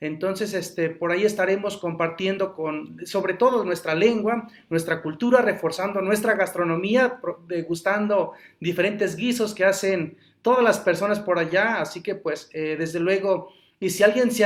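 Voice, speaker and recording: Speaking with a Mexican accent, a man uses a high pitch. He keeps a moderate pace. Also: ordinary pitch variation. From Huasteca Veracruzana, Mexico. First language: Nahuatl (speaking Spanish). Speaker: Nahuatl language teacher. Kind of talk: interview conversation.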